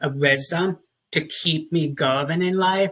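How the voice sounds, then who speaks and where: A man with a fairly high pitch and a bright, sharp tone speaks with fairly even intonation. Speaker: talk show host. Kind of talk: casual interview.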